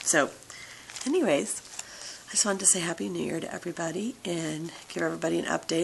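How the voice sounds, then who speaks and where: Talking fairly quickly, a woman is heard with noticeable noise in the background. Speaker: vlogger sharing weight loss surgery journey. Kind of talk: casual vlog update.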